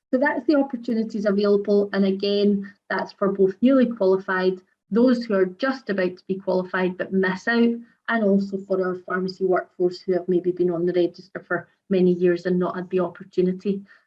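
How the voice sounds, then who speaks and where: A woman with a Scottish accent speaks at a fairly quick pace. Her pitch is medium, with ordinary variation. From Scotland. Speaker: pharmacy regulator director. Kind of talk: webinar presentation. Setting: online webinar. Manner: fast.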